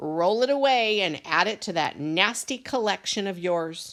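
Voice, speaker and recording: A put-on character voice at a middle pitch is raised and projected at a moderate pace, in a very clean recording with a silent background. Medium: read story. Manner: repeats words in threes.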